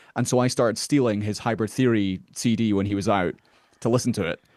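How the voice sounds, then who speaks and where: In a Scottish Highland accent, a man speaks at a moderate pace with ordinary pitch variation against a quiet background. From far north of Scotland. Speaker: metal musician. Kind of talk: podcast interview.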